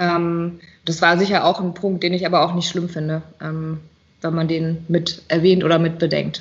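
A woman talks at a moderate pace in a somewhat breathy voice. Her pitch is fairly low, with monotone, flat intonation. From Rheinhessen, Germany. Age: 30s. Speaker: winemaker. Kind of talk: interview. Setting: video call.

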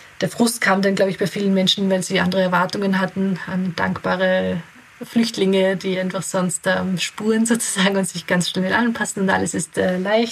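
A woman speaks at a moderate pace in a medium pitch, her intonation flat and monotone, with noticeable background noise. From Austria (Graz), from age eight; born in Kabul. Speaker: integration adviser and founder of an aid association. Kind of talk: interview. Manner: hesitant, many fillers.

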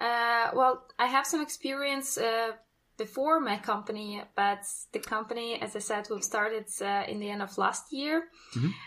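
Her accent is Russian and her tone bright and sharp. This woman talks at a moderate pace with ordinary pitch variation. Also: fairly high pitch for a woman. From Russia, North Caucasus. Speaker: travel company founder, hiking tour organizer. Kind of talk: casual interview. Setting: video call from home.

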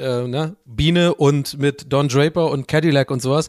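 A man's fairly high voice, fairly even in intonation, on a very clean recording with a silent background and a dry, close sound with no echo. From Ireland, Dublin. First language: English (speaking German). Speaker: podcast guest. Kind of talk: casual chat.

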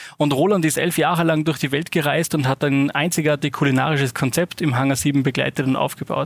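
A man with an Austrian accent, a fairly high pitch and fairly even intonation. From Austria, Salzburg. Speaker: spice company managing director. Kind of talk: interview.

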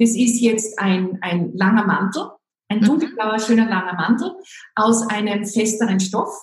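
A woman at a fairly high pitch and a fairly slow pace, with audible room echo. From Austria, Salzburg. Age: 50s. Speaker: image and style consultant. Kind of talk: interview.

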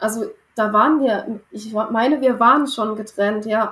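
A woman talks at a fairly slow pace. Her voice is fairly high and somewhat breathy. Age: 20s. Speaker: former coaching client, early childhood educator. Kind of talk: personal testimony in interview.

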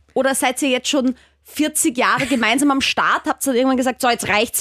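A woman with a slight Austrian accent speaks at a fairly quick pace in a high voice, her intonation fairly even, the sound dry and close with no echo. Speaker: sex educator and presenter. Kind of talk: interview.

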